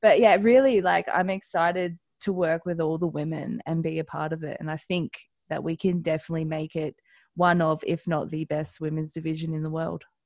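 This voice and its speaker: A woman with an Australian accent and a fairly low pitch speaks at a fairly quick pace with fairly even intonation, recorded very cleanly against a silent background. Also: dry, close sound with no echo. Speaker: professional wrestler. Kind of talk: interview.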